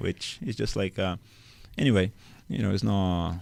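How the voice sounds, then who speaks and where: This man's pitch is very deep and low. He speaks at a moderate pace on a very clean recording with a silent background. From Brazil. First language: Portuguese. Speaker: youth soccer coach, former pro player. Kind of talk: podcast interview. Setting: studio. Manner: loud; halting.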